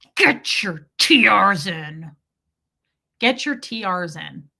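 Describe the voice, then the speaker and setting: Putting on a character voice, a woman growls and hisses at a very slow pace from a medium pitch, with very wide pitch swings and big swings in loudness. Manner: hissed through gritted teeth, urgent.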